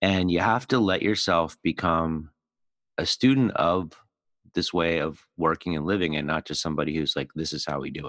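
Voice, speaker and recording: A man's very deep, low voice with an American accent, moderate pace and ordinary pitch variation, in a dry, close sound with no echo on a very clean recording with a silent background. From US Northeast, Philadelphia. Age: 50s. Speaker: podcast host and agile trainer. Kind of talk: casual interview chat.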